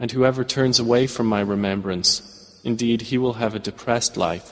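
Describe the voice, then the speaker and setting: A man with a medium-pitched voice speaks at a fairly quick pace in a monotone, flat way. Noticeable background noise runs behind him. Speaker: English translation voiceover narrator. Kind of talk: translation voiceover of Quran verses.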